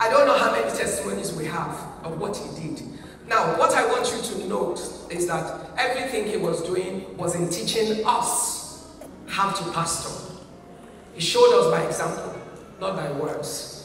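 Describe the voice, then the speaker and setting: In a Nigerian accent, a woman with a medium pitch speaks at a moderate pace with lively intonation. Strong room echo surrounds her voice, along with light background noise. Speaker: pastor. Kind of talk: heartfelt eulogy at a church memorial service. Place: church.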